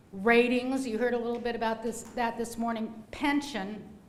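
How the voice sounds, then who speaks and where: With audible room echo and noticeable background noise, a woman speaks at a high pitch in monotone, flat intonation. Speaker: law clinic director and instructor. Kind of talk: lecture. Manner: fast.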